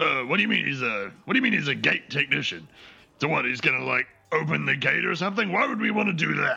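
A man puts on a raspy character voice with a fairly high pitch. He goes at a fairly quick pace, broken by long, frequent pauses. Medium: actual play. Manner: blunt, casual, slow to catch on.

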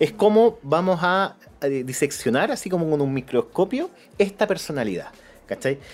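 Over music in the background, a man with a Chilean accent talks at a high pitch with very wide pitch swings. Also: moderate pace. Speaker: film podcast host. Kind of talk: casual film discussion.

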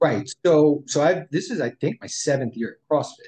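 Somewhat breathy, a man with an American accent talks at a moderate pace with lively intonation. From New York. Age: 50s. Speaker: financial planner. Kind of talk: interview.

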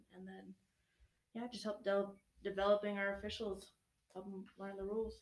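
With monotone, flat intonation and big swings in loudness, a woman of medium pitch speaks at a moderate pace, pausing long and often. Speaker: university recreation staff coordinator.

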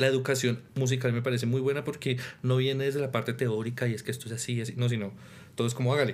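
A man's medium-pitched, monotone voice at a very fast pace, with audible room echo. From Colombia, Tolima and Boyacá. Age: 20s. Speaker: orchestra conductor and percussionist. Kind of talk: interview.

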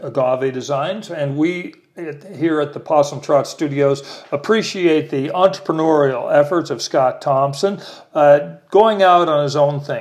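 Talking at a fairly slow pace, a man speaks with a fairly high pitch. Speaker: podcast host. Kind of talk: casual interview. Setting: home studio. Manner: animated.

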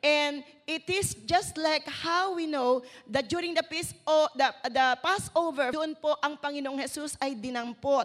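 A woman with a high pitch talks at a fairly slow pace, her pitch showing ordinary variation. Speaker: preacher. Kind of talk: sermon.

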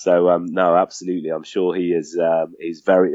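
The man speaks in a southern English accent. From southern England, Southampton. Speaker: charity foundation head. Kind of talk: interview.

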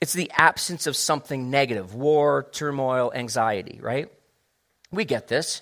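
In a very clean recording with a silent background, a man speaks at a moderate pace in an unremarkable speaking voice, fairly high-pitched, with ordinary pitch variation. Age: 50s. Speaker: pastor. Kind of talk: sermon. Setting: church.

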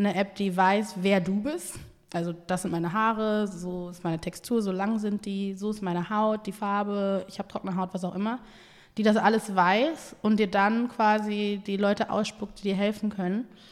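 A woman has an ordinary speaking voice at a medium pitch. She talks at a moderate pace with fairly even intonation. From Essen, Germany (born in Ghana, moved at age 4). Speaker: entrepreneur and agency founder. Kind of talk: casual interview chat.

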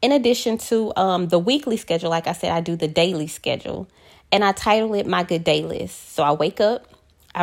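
In a very clean recording with a silent background, a woman uses a normal speaking voice with lively intonation at a fairly quick pace. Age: 30s. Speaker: solo podcaster and hairstylist. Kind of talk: personal monologue podcast.

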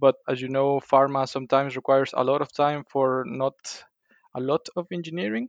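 Speaking in a Spanish accent, a man with a fairly high pitch moves at a fairly quick pace with fairly even intonation and a dry, close sound with no echo. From Mexico, Colima. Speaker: chemical engineer. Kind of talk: interview. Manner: halting.

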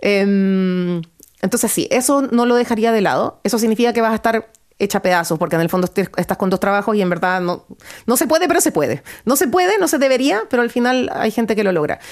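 On a very clean recording with a silent background, a woman with a fairly high pitch speaks at a fairly quick pace, her pitch swinging very widely while her loudness stays very even. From Ecuador, Guayaquil. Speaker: photographer and clothing store founder. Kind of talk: interview.

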